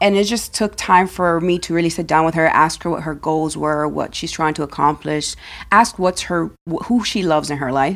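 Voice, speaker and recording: A woman speaks in a plain, everyday voice at a moderate pace, with hardly any pauses. Her pitch is fairly low with ordinary variation, and the recording is very clean with a silent background. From Dominican Republic, raised in US. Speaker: life insurance broker. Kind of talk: interview.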